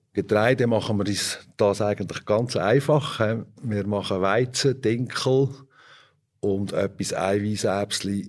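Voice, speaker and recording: Recorded very cleanly against silence, a man speaks at a very slow pace, his fairly low pitch moving with ordinary variation. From Switzerland, Fricktal (Aargau). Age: 50s. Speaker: organic dairy farmer. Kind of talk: interview.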